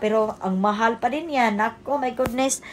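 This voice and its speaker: A woman speaks at a fairly high pitch. Her pace is fairly slow, and her pitch varies in an ordinary way. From Cebu, Philippines. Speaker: vlogger. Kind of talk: casual vlog narration. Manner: loud; animated.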